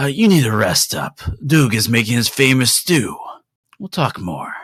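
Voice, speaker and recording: Using a put-on character voice, a man speaks at a medium pitch with very wide pitch swings. The raspy delivery keeps a moderate pace. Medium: actual play. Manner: chatty, teasing.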